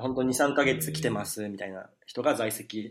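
This man speaks at a fairly low pitch. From Japan, Saitama (Koshigaya). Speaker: restaurant entrepreneur in Africa. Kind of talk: casual chat.

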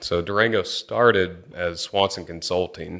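In a Texan accent, the speaker goes at a fairly slow pace on a very clean recording with a silent background. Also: man. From Texas (Angleton, near Houston). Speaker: petroleum engineer. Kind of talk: interview conversation.

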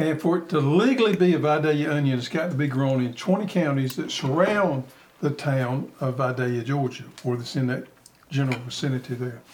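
Ordinary pitch variation runs through this man's speech. He has a Southern US accent. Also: fairly high pitch for a man, fairly quick pace. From US South. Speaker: gardening show host. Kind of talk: casual chat.

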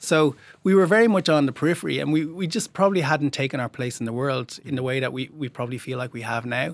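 Speaking very fast with hardly any pauses, a man uses a medium pitch and an Irish accent. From Ireland. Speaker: documentary filmmaker. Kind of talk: interview.

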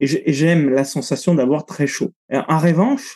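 A man's fairly high voice has a dark, mellow tone and ordinary pitch variation. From Italy. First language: Italian (speaking French). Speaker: breathing coach and cold-exposure instructor. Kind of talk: interview conversation.

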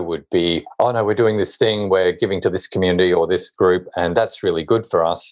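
A man talks with an Australian accent. His pace is fairly quick, and the background is quiet. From Hobart, Tasmania, Australia. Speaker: author and social impact consultant. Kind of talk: interview.

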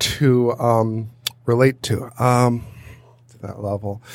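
Noticeable background noise sits behind a man's voice. He speaks at a very slow pace in a flat monotone. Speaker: podcast host. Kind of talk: casual chat. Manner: halting, many fillers.

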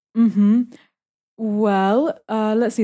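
With a London accent, a woman talks in a fairly high pitch and a dark, mellow tone over a quiet background. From London, England. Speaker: expat living in Russia. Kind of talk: casual interview. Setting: small home studio.

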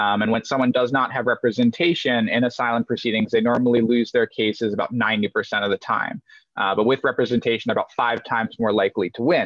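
Speaking at a very fast pace with hardly any pauses, a man uses a medium pitch. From United States (moved from Denmark at age two). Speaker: nonprofit executive director. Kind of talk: interview. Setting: video call.

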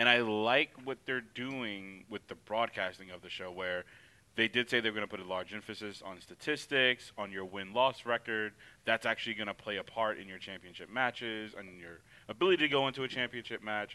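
A man's plain, everyday voice, fairly low in pitch with ordinary pitch variation, at a fairly quick pace with big swings in loudness. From US South. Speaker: wrestling podcast co-host. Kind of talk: casual chat.

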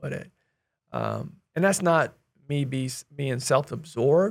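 This man has an American accent and a fairly high pitch, with vocal fry. He speaks at a moderate pace with ordinary pitch variation. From US Midwest. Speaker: real estate investor. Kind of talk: casual interview chat. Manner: energetic, passionate; loud, animated.

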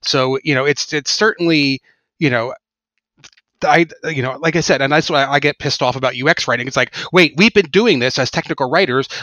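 Fairly quick delivery in a plain, everyday voice, with ordinary pitch variation. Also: man, fairly high pitch for a man. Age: 40s. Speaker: podcast host. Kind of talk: interview conversation.

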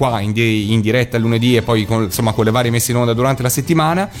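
A man talking very fast over noticeable background noise. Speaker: radio host. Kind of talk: casual chat on live radio. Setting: radio studio, sharing one microphone.

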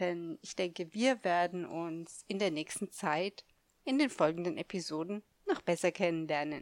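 Heard in a very clean recording with a silent background, a woman speaks fairly slowly in a fairly low pitch. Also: ordinary pitch variation, dry, close sound with no echo. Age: 50s. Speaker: podcast host and life coach. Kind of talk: solo podcast monologue. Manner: halting, with many fillers.

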